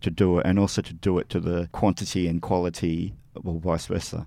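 Talking at a moderate pace, a man with an Australian accent has a very deep, low pitch. His tone is dark and mellow, with monotone, flat intonation. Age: 50s. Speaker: music magazine editor and reviewer. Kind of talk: interview. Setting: studio.

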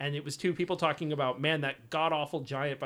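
This man has a plain, everyday voice, pitched fairly high, with fairly even intonation and a fairly quick pace. The recording is very clean, the background silent. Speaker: podcast host. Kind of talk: casual chat about video games.

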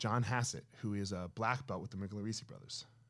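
In an American accent, an ordinary speaking voice moves at a fairly quick pace with ordinary pitch variation on a very clean recording with a silent background. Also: man. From New Jersey. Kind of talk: casual chat.

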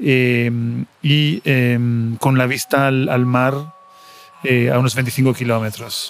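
A man talks at a medium pitch with fairly even intonation. Noticeable background noise can be heard behind him. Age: 40s. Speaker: podcaster. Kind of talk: personal audio diary monologue. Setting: airport waiting area. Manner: halting, many fillers and repetitions.

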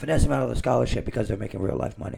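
Noticeable background noise fills this recording. Through it, a man can be heard talking. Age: 20s. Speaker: podcast co-host. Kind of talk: casual chat.

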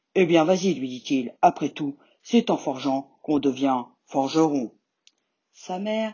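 A woman's very deep, low voice at a fairly slow pace with ordinary pitch variation. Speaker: storyteller reading a tale aloud. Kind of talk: fairy-tale audiobook reading for children, scripted narration.

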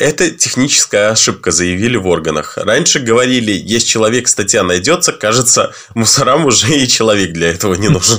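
Keeping his loudness very even, a man with an unremarkable speaking voice talks at a fairly quick pace and a medium pitch with lively intonation. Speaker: podcast co-host. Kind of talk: news reading.

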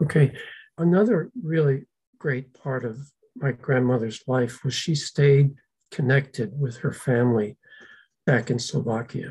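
A man speaks at a fairly slow pace with a medium pitch, a somewhat breathy voice, ordinary pitch variation, and long, frequent pauses. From US, Slovak-American community. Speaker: descendant sharing family history. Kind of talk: interview.

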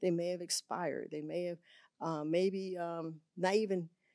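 A woman's dark, mellow voice with a Southern US accent, moderate in pace, on a very clean recording with a silent background. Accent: Southern US (Georgia). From US South, Augusta, Georgia. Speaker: insurance agent. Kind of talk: interview. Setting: studio.

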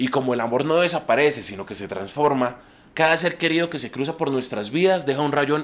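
A man's unremarkable speaking voice, fairly high in pitch with ordinary variation, at a fairly quick pace. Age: 30s. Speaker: traveling painter sharing reflections. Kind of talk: scripted personal monologue. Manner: reflective.

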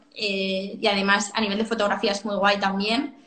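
A woman talks at a fairly slow pace. Noticeable background noise sits behind her. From Catalonia, Spain (Sant Cugat). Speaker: fashion brand co-founder. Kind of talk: interview. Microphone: echo in room.

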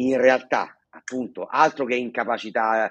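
A man talks at a medium pitch. The sound is dry and close, with no echo. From Sicily. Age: 40s. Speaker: stuttering therapy center founder, stutterer. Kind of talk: casual interview. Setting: video call. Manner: fluent, passionate, occasional hesitations.

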